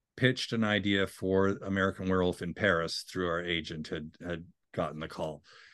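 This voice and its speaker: In a Canadian accent, a man speaks with a very deep, low pitch over a quiet background. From Canada (Ottawa). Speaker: TV writer and composer. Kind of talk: interview.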